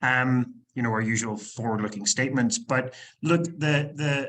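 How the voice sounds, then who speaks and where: A man with a Northern Irish accent speaks at a moderate pace. His pitch is medium and his intonation lively. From Northern Ireland, Belfast. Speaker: company executive. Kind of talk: business presentation. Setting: conference presentation. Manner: halting, many fillers and repetitions; enthusiastic.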